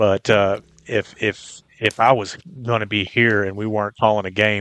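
In a Texan accent, a man speaks at a fairly low pitch with monotone, flat intonation, the sound dry and close with no echo over a quiet background. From Texas, Brown County. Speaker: sports podcast co-host. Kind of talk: sports talk show.

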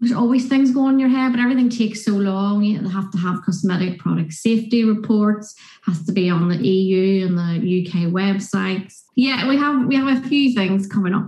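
A woman with a Northern Irish accent speaks at a fairly quick pace with hardly any pauses. Her medium pitch shows ordinary variation, and her loudness stays very even. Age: 50s. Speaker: nurse and small skincare business owner. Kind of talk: casual interview chat.

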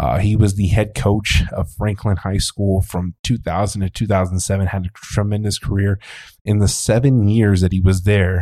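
A man with a fairly low, somewhat breathy voice speaks at a fairly slow pace with fairly even intonation, the sound dry and close with no echo. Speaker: sports podcast host. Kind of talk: casual sports talk interview.

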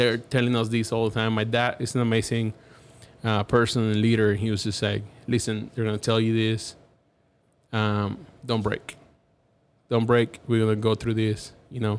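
A man with a Cuban accent talks at a moderate pace with a medium pitch. He leaves long, frequent pauses. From Cuba (Havana). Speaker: graphic designer. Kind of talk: casual interview. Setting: studio. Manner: animated.

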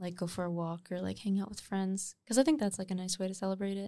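A woman speaks fairly quickly in an ordinary speaking voice, medium in pitch, with a Canadian accent. The recording is very clean, with a silent background. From Nova Scotia, Canada. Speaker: singer-songwriter. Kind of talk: casual chat.

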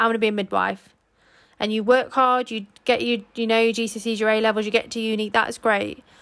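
A woman in an English accent, fairly high in pitch, at a very fast pace. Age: 20s. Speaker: podcast co-host. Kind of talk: casual solo chat. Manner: animated.

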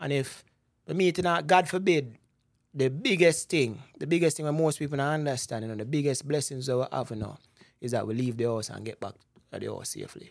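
A man with a Jamaican accent talks at a fairly quick pace in a fairly high pitch, with ordinary pitch variation and big swings in loudness. The recording is very clean, with a silent background. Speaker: investment broker. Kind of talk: casual interview about personal finance.

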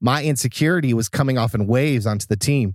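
A man's animated tone is heard on a very clean recording with a silent background. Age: 40s. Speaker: church production leader. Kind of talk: casual chat.

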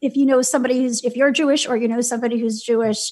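A woman speaks with an American accent. Her pitch is high. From New York City, Brooklyn. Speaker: nonprofit founder and advocate. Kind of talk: interview.

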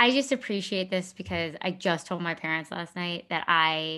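A woman speaks at a moderate pace with a bright, sharp tone, fairly low pitch and ordinary pitch variation, on a very clean recording with a silent background. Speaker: podcast co-host. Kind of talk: casual conversational podcast chat. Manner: laughs often, chatty.

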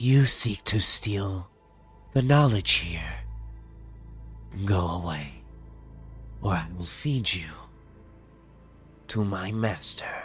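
Over clear music in the background, a man does a put-on character voice. He speaks at a very slow pace with long, frequent pauses. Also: fairly low pitch for a man. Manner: terse, broken telepathic speech.

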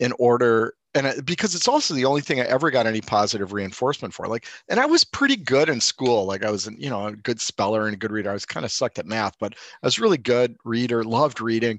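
Against a quiet background, a man with an American accent uses an unremarkable speaking voice at a medium pitch and fairly quick pace, with a dry, close sound with no echo. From US Midwest, Milwaukee, Wisconsin. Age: 60s. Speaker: artist. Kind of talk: casual interview conversation.

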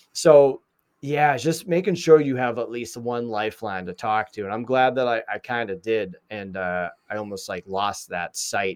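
A man speaks at a medium pitch and a moderate pace with a Boston accent and lively intonation, recorded with a dry, close sound and no echo. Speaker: mental health advocate and podcast host. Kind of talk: interview, casual chat.

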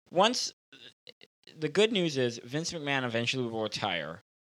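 A man talks at a moderate pace with very wide pitch swings. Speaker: podcast co-producer and wrestling fan.

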